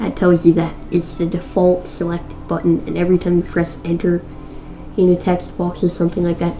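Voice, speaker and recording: A woman speaks fairly quickly in a fairly low, flat monotone. Music plays in the background. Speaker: programming tutorial YouTuber. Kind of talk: tutorial. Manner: halting, self-correcting; casual.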